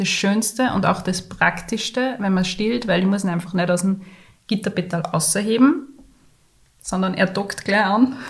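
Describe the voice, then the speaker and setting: A woman speaks somewhat breathily at a moderate pace and medium pitch. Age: 30s. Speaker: podcast co-host, mother and graphic designer. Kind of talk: casual chat.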